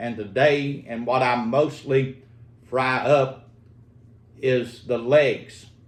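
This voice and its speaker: A man with a Southern US accent, medium pitch and monotone, flat intonation, set in audible room echo. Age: 60s. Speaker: home cook. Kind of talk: cooking tutorial. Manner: halting, many fillers.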